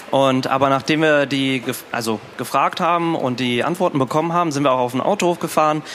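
Noticeable background noise runs under a man's voice. He talks at a fairly quick pace with fairly high pitch and ordinary pitch variation. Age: 20s. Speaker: startup co-founder. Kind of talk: stage interview. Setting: stage with audience.

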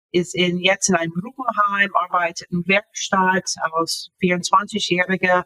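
With an American accent, a woman speaks very slowly at a medium pitch and fairly even intonation, the sound dry and close with no echo. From US, Florida. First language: English (speaking German). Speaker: author. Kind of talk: interview. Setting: video call. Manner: halting.

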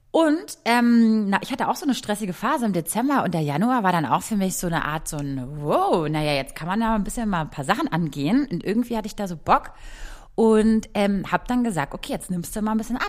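With very wide pitch swings around a medium pitch, a woman speaks at a fairly quick pace. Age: 30s. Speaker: podcast host. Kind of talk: casual chat. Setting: video call.

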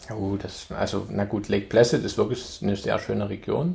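A man's dark, mellow voice with vocal fry and lively intonation. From Saxony, Germany (Chemnitz). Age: 40s. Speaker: amateur triathlete. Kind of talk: casual chat. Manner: halting, with many fillers.

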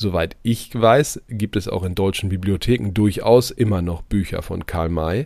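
A man speaks at a moderate pace. His pitch is fairly low, with ordinary variation. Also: very clean recording, silent background. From East Westphalia, Germany. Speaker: podcast host. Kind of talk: news commentary; interview.

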